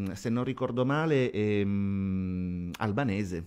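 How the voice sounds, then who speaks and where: Against a quiet background, a man speaks very slowly, his pitch swinging very widely. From Sicily. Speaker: radio host and DJ; radio host, DJ. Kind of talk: TV interview. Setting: TV studio. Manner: halting, repeats words. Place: studio. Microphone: studio mic.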